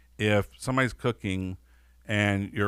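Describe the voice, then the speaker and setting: A man with a Southern US accent talks at a fairly low pitch with ordinary pitch variation. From US South. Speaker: podcast host and restaurant owner. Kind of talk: casual interview over a meal.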